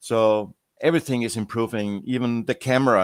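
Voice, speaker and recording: On a very clean recording with a silent background and a dry, close sound with no echo, a man talks at a moderate pace and medium pitch with fairly even intonation. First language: not English. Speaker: software project founder. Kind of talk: interview. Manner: halting.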